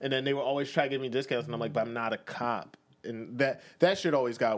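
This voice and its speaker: A man's unremarkable speaking voice at a medium pitch, with ordinary pitch variation. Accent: American. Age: 20s. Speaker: podcast co-host. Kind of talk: casual chat.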